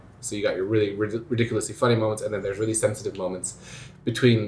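With ordinary pitch variation and a medium pitch, a man's voice sounds somewhat breathy. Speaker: school musical director. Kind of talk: interview. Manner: casual, hesitant with fillers.

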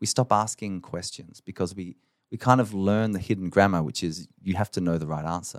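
An Australian accent at a moderate pace, dry and close with no echo, on a very clean recording with a silent background. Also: man. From Australia, southern Adelaide. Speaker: education expert and CEO. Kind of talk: interview conversation.

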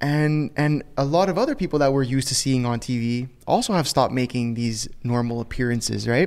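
A man speaks in an ordinary speaking voice at a medium pitch. He talks at a fairly quick pace with hardly any pauses and ordinary pitch variation. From Canada. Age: 20s. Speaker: podcast host. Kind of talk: casual chat.

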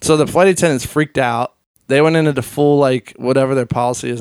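A man with a Central Pennsylvania accent speaks with fairly even intonation in a dry, close sound with no echo. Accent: Central Pennsylvania American. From central Pennsylvania (Hershey). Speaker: DJ and remixer. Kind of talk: casual chat. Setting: host's home.

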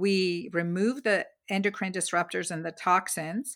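A woman's normal speaking voice at a medium pitch, with ordinary pitch variation and a fairly slow pace, on a very clean recording with a silent background. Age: 50s. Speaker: physician and author. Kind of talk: interview.

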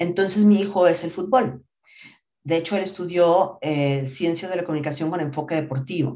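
The woman's voice sits fairly low in pitch. She talks at a moderate pace with ordinary pitch variation. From Mexico City. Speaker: marketing executive. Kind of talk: interview. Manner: hesitant fillers, repeats words.

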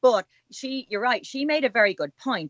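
A woman speaks in a Dublin accent at a moderate pace. Her pitch swings very widely. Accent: Dublin Irish. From Ireland, Dublin. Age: 50s. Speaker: author and blogger. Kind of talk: interview.

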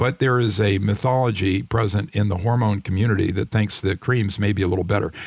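A man's fairly low, somewhat breathy voice at a fairly quick pace, ordinary pitch variation, very clean recording with a silent background. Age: 60s. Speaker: retired physician and author. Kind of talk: interview.

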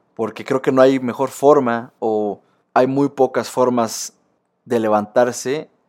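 In a Mexican accent, a man of medium pitch speaks at a fairly slow pace with fairly even intonation on a very clean recording with a silent background. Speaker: sports podcaster. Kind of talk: casual monologue.

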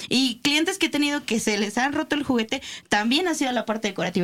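A woman talking very fast, with lively intonation. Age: 20s. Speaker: sex shop owner. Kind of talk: casual chat.

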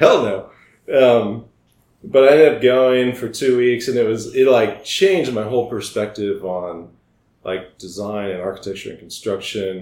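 A man with an American accent and a normal speaking voice talks at a medium pitch and a moderate pace. His pitch varies in an ordinary way, while his loudness swings widely. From US Midwest (Iowa). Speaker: architect. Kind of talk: casual interview.

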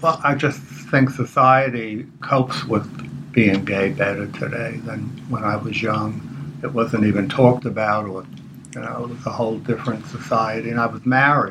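A man with a medium-pitched voice talks at a moderate pace with ordinary pitch variation over noticeable background noise. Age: 70s. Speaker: retired guest. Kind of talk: interview.

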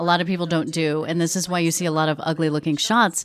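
A woman talks with a fairly low pitch. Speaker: media trainer and speaker. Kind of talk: casual interview chat. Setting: socially distanced in person, same room.

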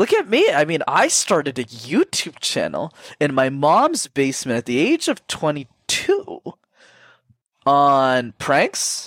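The speech moves at a very slow pace, with a dry, close sound with no echo on a very clean recording with a silent background. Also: man. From Canada, Sri Lankan immigrant family. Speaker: communication coach. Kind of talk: interview.

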